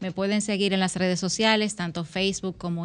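The speaker has a plain, everyday voice with fairly even intonation. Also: woman. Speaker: politician. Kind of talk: radio interview. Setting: radio studio.

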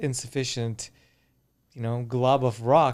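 The voice is an ordinary speaking voice with fairly even intonation at a fairly slow pace. It comes through a very clean recording with a silent background. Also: man. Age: 40s. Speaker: anti-aging expert. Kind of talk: casual chat. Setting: studio.

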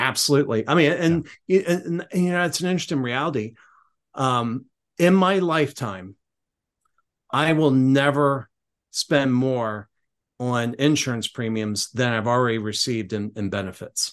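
A normal speaking voice from a man, medium in pitch, with lively intonation at a moderate pace over a quiet background. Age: 50s. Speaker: podcast host. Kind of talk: casual interview.

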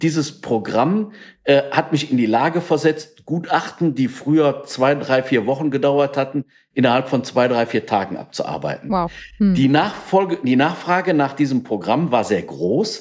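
With a plain, everyday voice, a man of fairly high pitch speaks at a moderate pace with lively intonation and very even loudness. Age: 60s. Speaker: entrepreneur, company founder. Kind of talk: interview.

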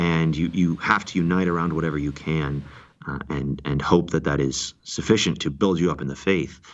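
A man with an American accent talks at a moderate pace with a very deep, low pitch, vocal fry, and fairly even intonation. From central Washington, US. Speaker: engineer and church member. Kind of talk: interview conversation. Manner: hesitant with fillers.

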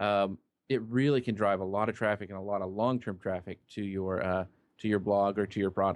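At a fairly quick pace, a normal speaking voice with an American accent keeps fairly even intonation over a quiet background. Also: man. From Kansas, small town. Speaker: social media marketer. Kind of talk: interview.

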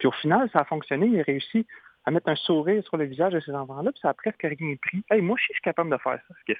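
A man with a high pitch, very fast pace, lively intonation and a Quebec accent. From Quebec, Trois-Rivières. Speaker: humanitarian clown and speaker. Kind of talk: radio interview.

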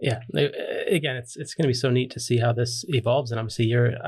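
A man's medium-pitched, somewhat breathy voice in a monotone, flat intonation. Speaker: podcast host. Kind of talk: casual interview.

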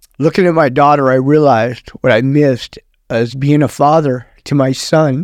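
Fairly high in pitch, a man speaks in an ordinary speaking voice at a moderate pace, with fairly even intonation and very even loudness. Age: 60s. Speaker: former prison inmate, prison minister. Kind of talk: testimony.

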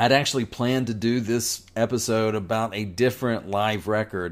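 Speaking at a fairly slow pace with a Southern US accent, a man is heard on a very clean recording against a silent background. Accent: Southern American. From US South, North Carolina. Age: 40s. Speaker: podcast host. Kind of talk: solo podcast monologue. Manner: conversational, digressive.

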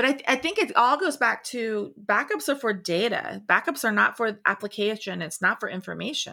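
A woman with a fairly high pitch, a bright, sharp tone and vocal fry speaks at a moderate pace with lively intonation and hardly any pauses. The recording is very clean, with a silent background. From Florida Panhandle, US South. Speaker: tech founder and industry consultant. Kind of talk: casual chat.

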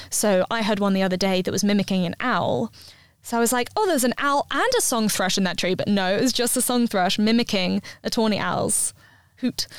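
A woman with a southern English accent talks at a fairly quick pace. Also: fairly high pitch for a woman, ordinary pitch variation, very even loudness, dry, close sound with no echo. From London. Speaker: ultra marathon runner and fitness blogger. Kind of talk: casual interview chat.

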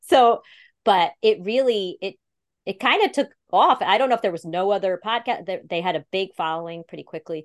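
In a quiet background with a dry, close sound and no echo, a woman with an upstate New York accent speaks at a moderate pace, her medium pitch carrying lively intonation. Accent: upstate New York American. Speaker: speech-language pathologist and podcast producer. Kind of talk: interview.

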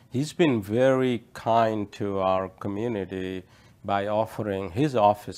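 A man speaks very slowly in a fairly low pitch. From India. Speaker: tech company president. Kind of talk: interview.

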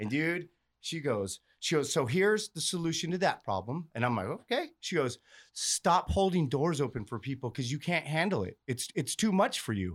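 A fairly high-pitched man's voice with vocal fry and very wide pitch swings, at a moderate pace, in a very clean recording with a silent background. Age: 40s. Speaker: recovering addict, pipeliner and comedian. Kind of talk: casual chat.

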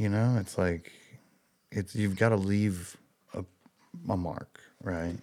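Speaking with an American accent, a man has a very deep, low pitch. He goes at a fairly slow pace with fairly even intonation. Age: 40s. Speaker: musician. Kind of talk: interview. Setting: in his fly shop.

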